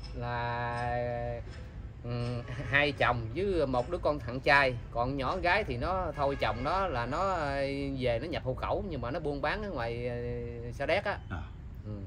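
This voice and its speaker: At a fairly slow pace, a man speaks with long, frequent pauses over light background noise. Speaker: man looking for his wife and children. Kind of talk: casual interview, telling his story. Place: garden. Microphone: camera far.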